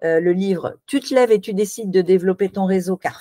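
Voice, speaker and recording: With a dark, mellow tone, a woman speaks at a medium pitch. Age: 60s. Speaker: networking consultant and author. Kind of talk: interview.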